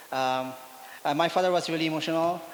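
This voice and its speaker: Noticeable background noise sits behind the speaker. A man with a fairly high voice talks with fairly even intonation. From India. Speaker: Peace Corps volunteer. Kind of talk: personal testimony. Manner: halting, many fillers.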